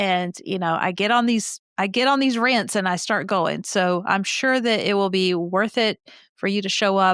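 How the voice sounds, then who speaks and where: A woman with an ordinary speaking voice talks at a moderate pace and medium pitch with ordinary pitch variation, dry and close with no echo in a very clean recording with a silent background. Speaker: podcast co-host. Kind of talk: casual chat.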